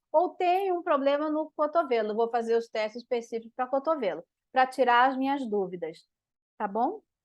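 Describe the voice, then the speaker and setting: Her pitch high and swinging very widely, a woman talks at a moderate pace in a dry, close sound with no echo over a quiet background. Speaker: physiotherapist. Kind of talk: live webinar lecture. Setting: online live stream.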